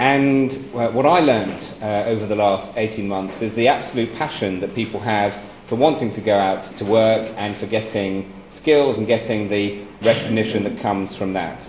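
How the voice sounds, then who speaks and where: Speaking at a moderate pace, a man with a fairly low pitch and ordinary pitch variation is heard with light background noise and audible room echo. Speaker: guest, former minister. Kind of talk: speech to an audience. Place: hall. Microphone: handheld.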